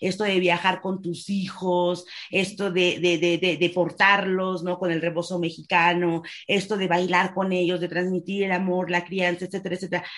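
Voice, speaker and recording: At a moderate pace, a woman speaks in a fairly low pitch with flat, monotone intonation. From Mexico. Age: 30s. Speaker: dance instructor and rehabilitation therapist, wheelchair user. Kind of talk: interview. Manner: halting.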